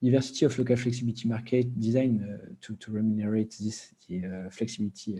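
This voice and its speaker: A man with a strong French accent races along at a very fast pace with hardly any pauses, his medium-pitched voice dark, mellow and somewhat breathy, his intonation fairly even and his loudness swinging widely. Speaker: PhD researcher presenting at a conference. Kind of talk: conference presentation. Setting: online video conference. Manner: halting, many fillers and repetitions.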